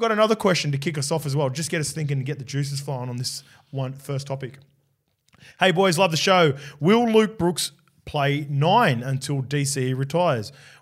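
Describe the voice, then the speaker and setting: Speaking at a fairly quick pace, a man with an Australian accent has a fairly high pitch and a somewhat breathy voice. His intonation is lively. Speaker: rugby league podcast host, former player. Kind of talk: casual sports chat.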